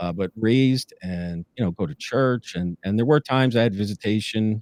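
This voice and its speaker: A man with a New Jersey accent talks at a moderate pace in a fairly low voice with ordinary pitch variation, in a very clean recording with a silent background. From northern New Jersey. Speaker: former police lieutenant. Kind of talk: interview testimony. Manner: many filler words.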